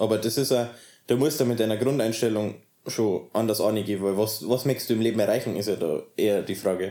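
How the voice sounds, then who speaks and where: A man with a Bavarian accent and a dark, mellow tone, talking at a very fast pace. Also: medium pitch for a man, fairly even intonation. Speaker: interviewee in polyamorous household. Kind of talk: interview. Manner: halting.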